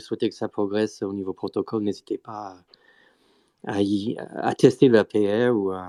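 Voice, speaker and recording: A man with a non-native accent, fairly low in pitch with a dark, mellow tone, fairly slow and fairly even in intonation, with big swings in loudness in a dry, close sound with no echo. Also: very clean recording, silent background. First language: not French (speaking French). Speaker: Bitcoin Core developer. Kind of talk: technical panel discussion. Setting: live Twitter audio space. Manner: hesitant, many fillers.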